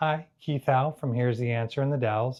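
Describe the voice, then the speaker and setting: A normal speaking voice from a man, medium in pitch, with fairly even intonation and a moderate pace. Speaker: hearing care provider. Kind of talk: tutorial. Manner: clearly enunciated.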